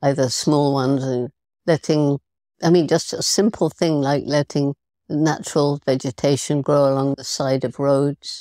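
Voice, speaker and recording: A woman with a British accent speaks in a very deep, low pitch, her tone dark and mellow and her intonation fairly even. The recording is very clean with a silent background, and the sound is dry and close with no echo. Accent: British English (Received Pronunciation). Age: 80s+. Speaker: primatologist and conservationist. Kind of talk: podcast interview answer.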